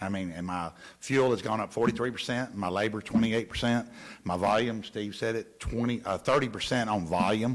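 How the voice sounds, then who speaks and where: Talking at a fairly quick pace, a man with a Southern US accent keeps a medium pitch and fairly even intonation. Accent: Southern US (Georgia). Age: 60s. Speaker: local waste hauling subcontractor owner. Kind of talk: council meeting discussion.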